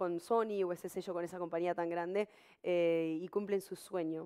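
In a plain, everyday voice, a woman speaks at a moderate pace and medium pitch with fairly even intonation over a quiet background. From Uruguay. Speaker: live TV show host. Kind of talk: live bilingual talk show, advice and reading chat. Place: studio. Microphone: headset.

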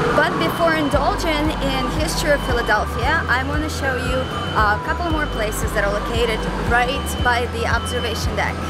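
A woman talks at a fairly quick pace over background music, the sound dry with no echo. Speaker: travel vlogger. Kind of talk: casual vlog chat. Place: street. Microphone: phone near.

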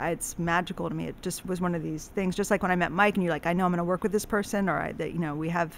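A woman speaks very fast with vocal fry, a fairly low pitch and flat, monotone intonation, over light background noise. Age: 40s. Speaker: painter; podcast guest. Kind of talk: casual chat. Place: studio. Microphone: studio mic.

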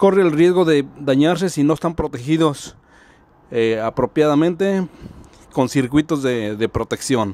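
A man with a fairly high pitch speaks at a fairly slow pace. His tone is dark and mellow, and the sound is dry with no echo. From Mexico, rural village. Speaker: YouTube DIY electronics presenter. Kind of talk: tutorial. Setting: home workshop. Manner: casual, halting with fillers. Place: workshop.

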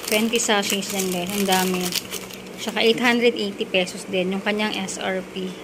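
Very slow, monotone, flat speech from a woman, with noticeable background noise. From Philippines. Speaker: vlogger. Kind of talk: product review. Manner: casual. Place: home room. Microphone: phone near.

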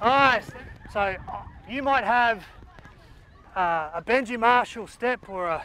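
A man speaks in a raised, projected voice. The sound is dry with no echo, with light background noise. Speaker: guest coach. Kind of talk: coaching instruction. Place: open country. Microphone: lapel.

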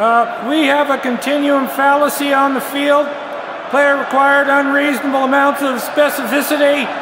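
Amid noticeable background noise, a man with an extremely high pitch speaks at a moderate pace in a deadpan tone and monotone, flat intonation. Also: very even loudness. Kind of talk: sports referee parody, deadpan announcing of argument-fallacy penalties. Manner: deadpan, formal referee cadence with stock 'on the field' call-outs; halting, filler 'uh' before calls, flares into exasperation on one line.

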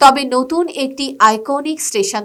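A woman talks at a high pitch, her voice swinging very widely up and down. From Bangladesh. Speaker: travel vlogger. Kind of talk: documentary-style vlog narration. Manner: formal.

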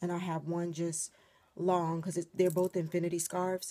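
Her tone is dark and mellow as the woman speaks. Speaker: beauty vlogger. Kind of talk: casual vlog chat. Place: home room. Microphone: phone near.

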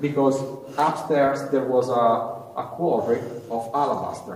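A man talks at a moderate pace with fairly even intonation. Audible room echo and light background noise surround him. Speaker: cave tour guide. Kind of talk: guided tour explanation. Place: tunnel cave. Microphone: phone near.

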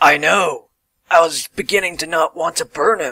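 A man's cartoonish character voice at a moderate pace, with a dry, close sound and no echo. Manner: deadpan, blunt, bored.

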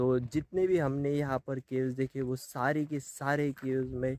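In a dry, echo-free recording with a quiet background, a man speaks fairly slowly in a flat monotone. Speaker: travel vlogger. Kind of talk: casual vlog chat. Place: street. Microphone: phone near.

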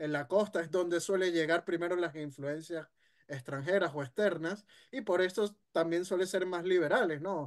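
Pitched high, a man's voice moves at a moderate pace with ordinary pitch variation. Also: quiet background. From Venezuela. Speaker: history content creator; guest. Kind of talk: casual discussion. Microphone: video call.

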